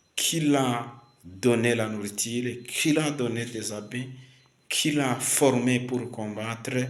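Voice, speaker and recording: Amid noticeable background noise and audible room echo, a man speaks very slowly at a medium pitch with fairly even intonation. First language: Kinyarwanda (speaking French). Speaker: preacher. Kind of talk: sermon. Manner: halting, many fillers and repetitions.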